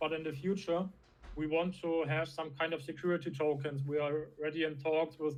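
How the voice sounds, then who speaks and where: In a German accent, a man talks at a moderate pace with a fairly high pitch and a monotone, flat intonation. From Germany. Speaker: crypto startup founder. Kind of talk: interview. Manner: halting.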